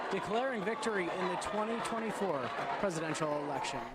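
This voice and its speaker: Over noticeable background noise, a man talks very fast with ordinary pitch variation. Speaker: TV news reporter. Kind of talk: TV news reporting, live and packaged.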